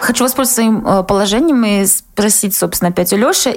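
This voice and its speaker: A woman talks with a normal speaking voice at medium pitch. Her pitch varies in an ordinary way. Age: 20s. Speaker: podcast co-host. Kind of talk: casual chat.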